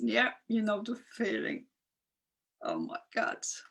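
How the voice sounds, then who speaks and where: A woman talks at a fairly slow pace. She speaks with a non-native accent. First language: not English. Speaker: spiritual coach. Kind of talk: live stream talk. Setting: live video stream. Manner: conversational, reacting to viewer comments.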